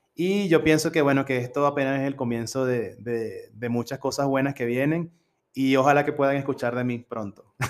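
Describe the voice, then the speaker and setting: A man speaks at a moderate pace with fairly even intonation and a fairly high pitch. He has a plain, everyday voice. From Venezuela, Coro (Falcón state). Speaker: university language teacher, international student. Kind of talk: casual interview.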